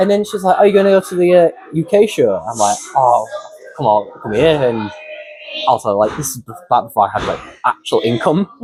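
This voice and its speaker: A man with a high pitch talks at a fairly quick pace. His voice makes very wide pitch swings over music in the background. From northern England, Wakefield. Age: 20s. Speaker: professional wrestler. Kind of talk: casual interview chat. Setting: backstage at a wrestling show. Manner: halting, many fillers and restarts.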